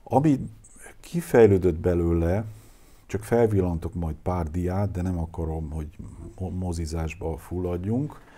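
A man with a very deep, low voice speaks at a very slow pace, leaving long, frequent pauses. His tone is dark and mellow, his pitch varies in an ordinary way, and the room echo is audible. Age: 60s. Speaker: lecturer on anthroposophy. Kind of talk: lecture. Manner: halting.

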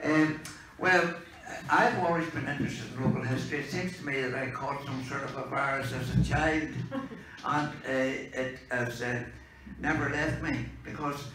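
Light background noise and audible room echo surround a man speaking at a moderate pace with fairly even intonation. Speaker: speaker. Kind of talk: informal talk to an audience. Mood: relaxed, humorous. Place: meeting room.

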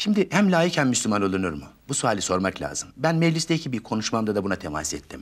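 Against a quiet background, a man with vocal fry speaks at a fairly quick pace in a fairly low pitch, his voice making very wide pitch swings. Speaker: politician guest. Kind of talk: interview answer. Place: studio. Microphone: lapel.

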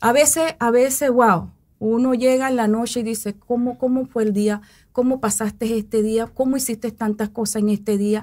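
A woman with a normal speaking voice, fairly high in pitch, with fairly even intonation at a moderate pace over a quiet background. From Panama, Coclé province; Panama. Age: 40s. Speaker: mayoral candidate and educator; candidate, educator. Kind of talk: interview. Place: studio. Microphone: studio mic.

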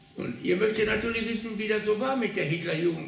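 A man speaks at a high pitch. There is light background noise and audible room echo. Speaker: contemporary witness; witness. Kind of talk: talk to students with reading. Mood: calm, reflective storytelling. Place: home room.

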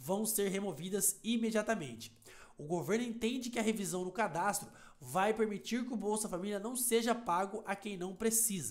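An animated, high-pitched man at a moderate pace with ordinary pitch variation. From Brazil. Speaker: YouTuber explaining social benefits. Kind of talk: news explainer video. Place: home room. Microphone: headset.

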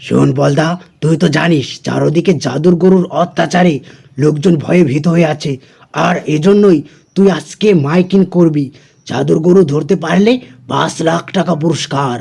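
This man uses a cartoonish character voice, pitched fairly high, at a moderate pace. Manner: bossy, blunt.

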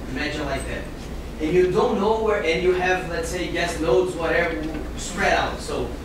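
A man with a Portuguese accent is heard with strong room echo and noticeable background noise. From Brazil. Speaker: graduate student or attendee from the power sector. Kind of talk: classroom discussion. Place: classroom.

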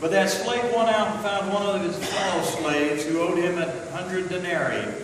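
A man's high voice at a moderate pace, with strong room echo and noticeable background noise. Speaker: scripture reader. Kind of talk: scripture reading. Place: church. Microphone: camera far.

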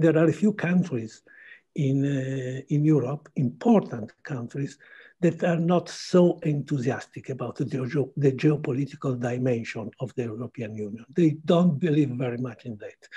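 A man's fairly high, somewhat breathy voice with a dark, mellow tone, moderate pace and ordinary pitch variation, against a quiet background. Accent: Italian. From Italy. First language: Italian. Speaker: journalist. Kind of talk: panel discussion. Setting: video call. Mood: thoughtful, measured. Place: home room. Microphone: video call.

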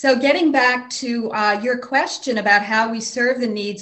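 A woman talks at a moderate pace with ordinary pitch variation. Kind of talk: interview answer. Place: office. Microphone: video call.

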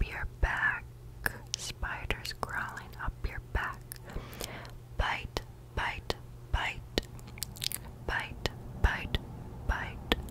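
A soft-spoken woman whispers at a very slow pace, leaving long, frequent pauses. Loud background noise fills the recording. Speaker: ASMR creator. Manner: soft close-mic ASMR whisper. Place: home room. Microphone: earbuds.

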